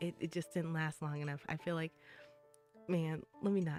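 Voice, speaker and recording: A woman's fairly low voice over music in the background. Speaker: vtuber. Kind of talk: casual livestream chat. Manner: casual, chatty.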